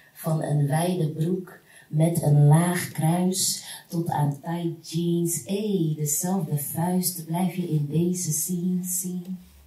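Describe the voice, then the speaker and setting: A woman's fairly low voice at a very slow pace, fairly even in intonation, with audible room echo. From Rotterdam, Netherlands. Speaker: spoken word artist. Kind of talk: spoken word poetry performance. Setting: live stage performance with audience. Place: hall.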